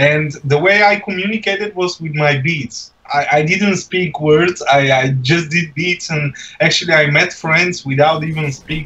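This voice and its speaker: A man with a fairly high voice and ordinary pitch variation is heard over noticeable background noise. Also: fairly slow pace. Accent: non-native. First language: not English. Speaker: beatboxer. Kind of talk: casual chat. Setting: livestream video call.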